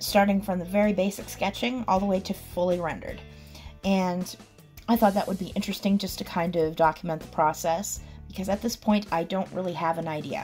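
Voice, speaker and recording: Faint music plays in the background as a woman talks at a fairly quick pace with fairly even intonation. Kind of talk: process commentary voice-over.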